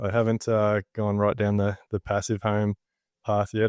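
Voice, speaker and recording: Speaking with an Australian accent at a fairly quick pace, a man with a fairly low pitch sounds dry and close with no echo against a quiet background. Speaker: builder and podcast host. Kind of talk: casual interview chat.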